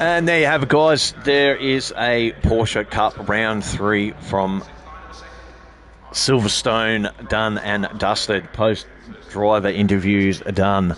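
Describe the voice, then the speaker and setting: There is noticeable background noise. A man with an Australian accent speaks at a very slow pace. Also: ordinary pitch variation. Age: 50s. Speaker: sim racing livestream host. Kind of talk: post-race interview and sign-off on livestream. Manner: halting, many fillers and repeats.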